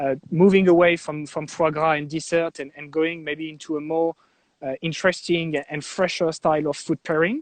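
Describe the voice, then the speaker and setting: With a French accent, a man talks at a moderate pace and a fairly high pitch in a flat monotone. The sound is dry and close with no echo. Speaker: wine estate commercial director. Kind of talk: interview. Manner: halting, many fillers.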